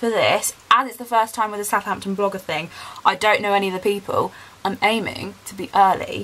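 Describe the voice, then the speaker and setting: The speaker is a woman. She keeps a moderate pace. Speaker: vlogger. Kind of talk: casual vlog chat. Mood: chatty, excited. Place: home room. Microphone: phone near.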